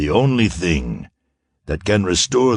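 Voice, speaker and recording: A man's put-on character voice, fairly low in pitch, at a moderate pace with lively intonation. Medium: read story. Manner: cold, commanding.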